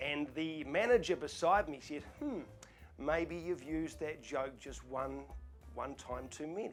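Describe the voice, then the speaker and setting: Music plays behind a man speaking at a fairly slow pace. His pitch is fairly high, with ordinary variation. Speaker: auctioneer. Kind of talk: casual talk to camera, Q&A. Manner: relaxed, chatty, storytelling.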